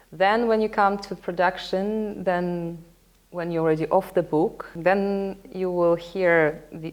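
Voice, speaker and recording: Against a quiet background, a woman with a Russian accent speaks at a very slow pace. Her pitch is fairly low and shows ordinary variation. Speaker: opera singer. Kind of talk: interview. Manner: halting.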